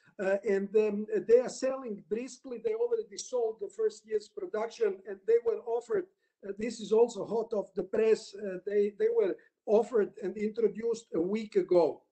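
A man speaks at a high pitch with a Croatian accent. His tone is dark and mellow, with ordinary pitch variation. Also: moderate pace, quiet background. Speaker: lawyer, panelist; lawyer presenting his country's market. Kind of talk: webinar presentation. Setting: video call. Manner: halting. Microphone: video call.

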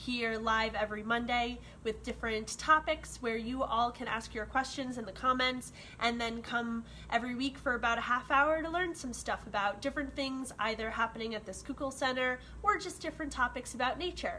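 Light background noise sits under a woman talking at a fairly quick pace. Her voice is high-pitched with ordinary pitch variation. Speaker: environmental educator. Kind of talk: livestream hosting, educational talk. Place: home room. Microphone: phone near.

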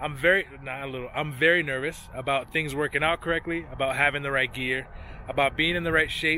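With fairly even intonation, a man speaks in a dry sound with no echo over light background noise. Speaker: cyclist vlogger. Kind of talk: casual vlog chat. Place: open country. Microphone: phone near.

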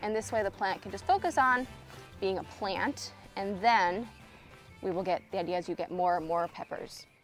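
A woman speaks at a moderate pace in a dry sound with no echo, faint music playing in the background. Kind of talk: casual tutorial vlog chat. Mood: relaxed, cheerful. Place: garden.

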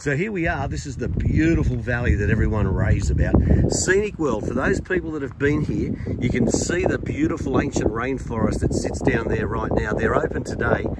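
The sound is dry with no echo, over loud background noise. A man talks at a fairly quick pace. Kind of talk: casual vlog chat, tour guide promotion. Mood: upbeat, enthusiastic. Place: open country. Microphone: phone near.

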